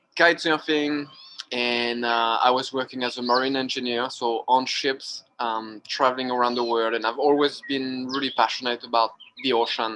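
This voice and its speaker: A man with a French accent speaks at a moderate pace in a medium pitch. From France, Brittany. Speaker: wing foil instructor. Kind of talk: interview. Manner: hesitant, many fillers.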